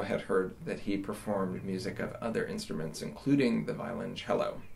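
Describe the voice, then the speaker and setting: An American accent comes at a moderate pace over light background noise. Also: man. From Western New York (Jamestown); New York. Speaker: orchestral double bassist. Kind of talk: interview. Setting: video call from home studio. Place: home room. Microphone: phone near.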